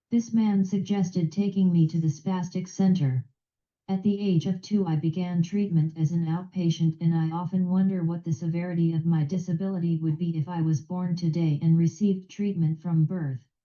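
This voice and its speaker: A woman speaks at a fairly low pitch with a dark, mellow tone and a somewhat breathy quality. Her pace is moderate, her intonation fairly even and her loudness very even. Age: 60s. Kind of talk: prepared speech. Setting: video call.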